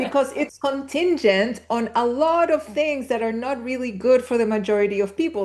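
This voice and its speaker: A woman speaks slowly-ish, at a fairly slow pace, with a Spanish accent. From Chile. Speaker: spiritual teacher. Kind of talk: interview conversation.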